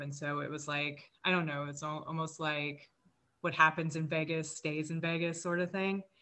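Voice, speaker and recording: This woman talks at a moderate pace in a very deep, low voice. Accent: American. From US South, Mississippi. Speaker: guest sharing life story. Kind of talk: personal testimony interview.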